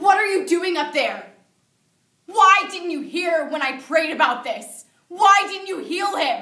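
Over a quiet background with audible room echo, a woman projects a raised voice at a fairly slow pace, her loudness swinging widely while her pitch varies in an ordinary way. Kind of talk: dramatic monologue performance. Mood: grieving, angry, pleading. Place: classroom. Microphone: camera far.

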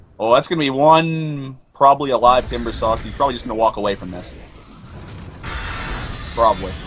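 Over music in the background, a man talks at a fairly quick pace with long, frequent pauses and big swings in loudness. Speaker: video game co-commentator. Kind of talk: live game commentary.

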